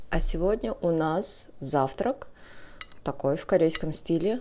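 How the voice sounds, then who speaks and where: This woman's voice sits fairly low. It has a dark, mellow tone. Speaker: food vlogger. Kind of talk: casual mukbang vlog chat. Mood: relaxed, friendly. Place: home room. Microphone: phone near.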